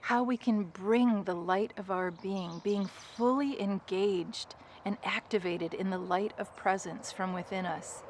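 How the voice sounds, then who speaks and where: A soft-spoken woman at a medium pitch, fairly slow and fairly even in intonation, with hardly any pauses and noticeable background noise. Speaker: spiritual guide. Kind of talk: guided meditation. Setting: outdoors.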